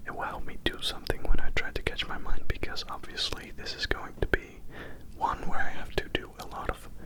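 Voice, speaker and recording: A man whispers over noticeable background noise. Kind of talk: ASMR update talk to camera. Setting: binaural recording. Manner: whispered; slow, slightly woozy.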